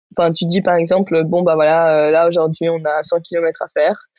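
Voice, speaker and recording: A woman's fairly low-pitched voice. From Spain, Barcelona. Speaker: rock climber. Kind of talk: casual chat.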